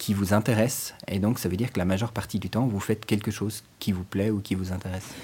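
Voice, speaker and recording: The man's tone is dark and mellow. His voice sounds somewhat breathy. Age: 40s. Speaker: librarian. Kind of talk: interview.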